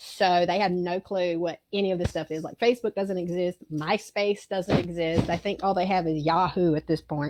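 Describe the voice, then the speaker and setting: In a strong Southern US accent, a woman with a fairly low voice talks at a moderate pace with fairly even intonation and hardly any pauses, the sound dry and close with no echo. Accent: thick southern. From South Georgia, US South. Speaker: theme park character attendant. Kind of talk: casual chat.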